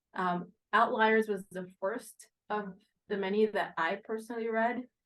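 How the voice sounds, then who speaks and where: A woman speaks at a fairly slow pace with an American accent. Her fairly high voice stays flat and monotone. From Haiti and US. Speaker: real estate investment executive. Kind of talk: podcast interview.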